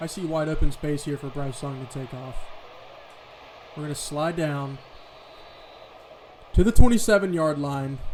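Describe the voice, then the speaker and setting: A man's fairly high voice at a moderate pace, with ordinary pitch variation, big swings in loudness and long, frequent pauses. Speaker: gaming video creator. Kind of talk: gameplay commentary. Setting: at home.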